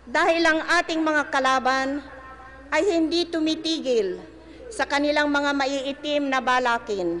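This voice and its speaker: A woman's high-pitched voice at very even loudness, with noticeable background noise. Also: ordinary pitch variation, fairly slow pace. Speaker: president giving a public speech. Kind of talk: political rally speech.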